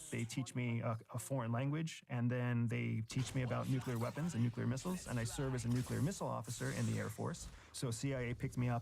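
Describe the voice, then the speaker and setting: A man with an American accent talks at a fairly quick pace. Music plays in the background. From rural Pennsylvania. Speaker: former intelligence officer and author. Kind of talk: interview.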